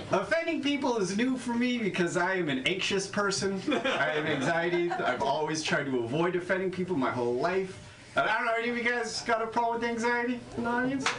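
A man speaks at a high pitch and a fairly quick pace, with very wide pitch swings but very even loudness. Noticeable background noise runs underneath. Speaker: stand-up comedian. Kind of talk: stand-up set. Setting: stage with audience (replayed video).

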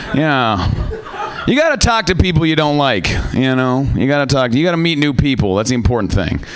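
A man speaks with an American accent and lively intonation. His loudness stays very even over noticeable background noise. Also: fairly high pitch for a man, fairly quick pace. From US Pacific Northwest. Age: young. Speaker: comedian. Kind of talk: stand-up. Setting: stage with audience.

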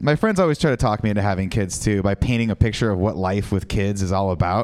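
A man is speaking here. His pace is very fast. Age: 30s. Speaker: stand-up comedian. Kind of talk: stand-up. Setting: stage with audience.

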